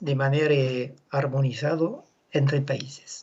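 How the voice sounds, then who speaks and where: The speaker is a man with a French accent. His voice comes out somewhat breathy. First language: French (speaking Spanish). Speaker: animal genetics expert. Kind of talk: conference presentation. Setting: video call.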